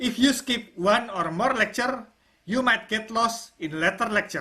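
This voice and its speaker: A bright, sharp tone with a non-native accent, a moderate pace and ordinary pitch variation. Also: woman. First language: not English. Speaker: online course instructor. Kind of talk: tutorial.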